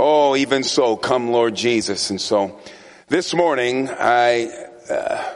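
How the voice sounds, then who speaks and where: A man speaks at a very slow pace with ordinary pitch variation, and there is audible room echo. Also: medium pitch for a man. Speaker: guest preacher. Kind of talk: sermon. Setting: church. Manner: loud, yelling.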